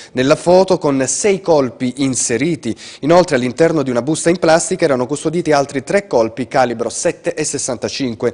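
The background stays quiet. At a moderate pace, a man speaks with ordinary pitch variation. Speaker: news anchor. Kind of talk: news reading. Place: studio.

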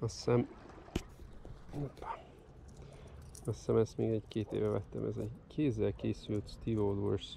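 Dry sound with no echo carries a man speaking at a moderate pace over light background noise. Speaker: fishing video creator. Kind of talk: outdoor product review vlog. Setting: outdoors on the Danube bank. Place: waterside. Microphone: phone near.

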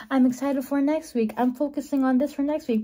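Her tone animated and her pitch high, a woman talks over noticeable background noise. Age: 20s. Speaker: vlogger. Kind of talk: casual vlog talk to camera. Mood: cheerful, chatty. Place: home room. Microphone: phone near.

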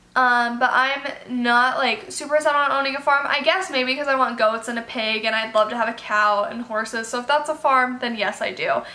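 A woman's high voice at a fairly quick pace, with ordinary pitch variation and hardly any pauses. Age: 18. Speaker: animal youtuber. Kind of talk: casual Q&A vlog. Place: home room.

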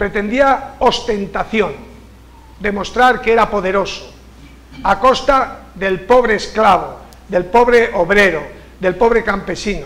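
Speaking with a Castilian accent at a very slow pace, the voice has ordinary pitch variation and long, frequent pauses. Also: man, high pitch for a man. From Spain, Castilla-La Mancha (Cuenca). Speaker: writer and university director. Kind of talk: lecture. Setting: stage with audience. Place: hall. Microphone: podium.

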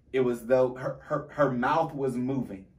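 Fairly even intonation marks a man speaking at a moderate pace. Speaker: minister, co-host of a Bible talk show; show host. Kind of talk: fervent preacherly exhortation within a scripture discussion; casual Bible discussion. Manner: building, impassioned cadence with repeated phrases; halting with fillers and restarts in casual stretches. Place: studio.

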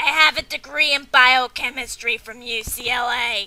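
A woman's high, raspy put-on character voice at a moderate pace, with ordinary pitch variation. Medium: comedy sketch. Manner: sly, then precise and lecturing.

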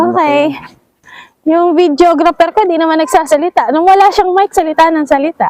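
A woman with an extremely high pitch talks at a fairly quick pace in an animated tone, her loudness swinging widely and her pitch varying in an ordinary way, in a dry, close sound with no echo. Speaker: travel vlogger. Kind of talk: casual vlog narration. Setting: outdoors.

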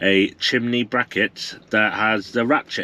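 The bright, sharp tone shows ordinary pitch variation, with a dry sound with no echo and light background noise. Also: man. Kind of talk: casual vlog chat. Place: car. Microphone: phone near.

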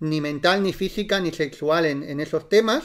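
A man speaks in a plain, everyday voice at a fairly high pitch. His pace is moderate with ordinary pitch variation, over a very clean recording and silent background. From Spain, Barcelona. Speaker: reiki teacher. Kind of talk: live-stream talk. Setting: live stream.

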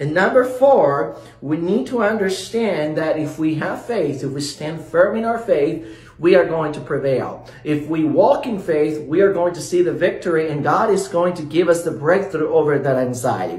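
Lively intonation from a man at a fairly high pitch and moderate pace, with audible room echo. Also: hardly any pauses. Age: 30s. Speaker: pastor. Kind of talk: sermon. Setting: short video. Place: home room.

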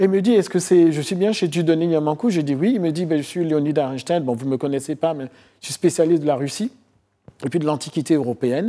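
The background is quiet as a man talks at a fairly quick pace. His dark, mellow tone sits at a fairly high pitch with ordinary pitch variation. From Côte d'Ivoire, of Beninese parents. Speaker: historian; guest. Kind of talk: TV interview. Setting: TV studio. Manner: halting, many hesitations. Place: studio. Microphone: lapel.

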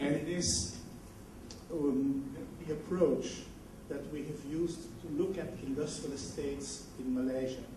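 Through audible room echo and noticeable background noise, a man speaks in a fairly high voice with ordinary pitch variation at a fairly slow pace, leaving long, frequent pauses. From Belgium. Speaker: management consultant. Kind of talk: presentation. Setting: conference hall.

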